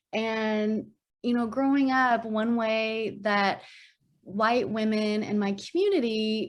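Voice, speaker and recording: A woman with an Arkansas accent speaks at a fairly high pitch on a very clean recording with a silent background. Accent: Arkansan. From US South, Arkansas. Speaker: minister. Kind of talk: sermon dialogue in worship service.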